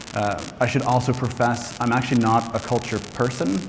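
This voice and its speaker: A man talks at a medium pitch with fairly even intonation. Noticeable background noise and audible room echo fill the recording. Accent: Nova Scotian. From Canada, Nova Scotia (east coast). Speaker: health data executive. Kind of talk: conference talk. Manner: fast.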